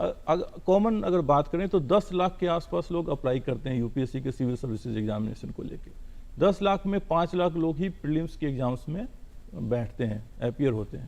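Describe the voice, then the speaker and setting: Lively intonation marks this man's normal speaking voice, which is fairly high in pitch. His pace is moderate. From Bihar, India. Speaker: civil servant. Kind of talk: TV interview.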